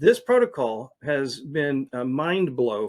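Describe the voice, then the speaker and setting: The recording is very clean, with a silent background. A man talks at a fairly high pitch. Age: 60s. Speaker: detox center owner. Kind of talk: interview answers. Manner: frequent hesitations.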